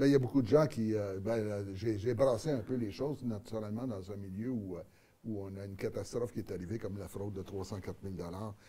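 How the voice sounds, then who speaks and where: In a Quebec accent, a man with fairly low pitch and a dark, mellow tone speaks at a fairly quick pace. His pitch varies in an ordinary way, while his loudness swings widely. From Quebec (Montreal), born in Acadian New Brunswick. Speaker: mayor and political candidate. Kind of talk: studio interview. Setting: TV studio. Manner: hesitant, many fillers and repetitions.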